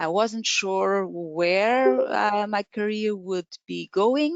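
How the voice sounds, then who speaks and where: A woman speaks with a Portuguese accent and ordinary pitch variation. The sound is dry with no echo, over a quiet background. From Portugal. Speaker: Excel trainer. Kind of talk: webinar presentation. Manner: halting. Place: home room. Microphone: webcam.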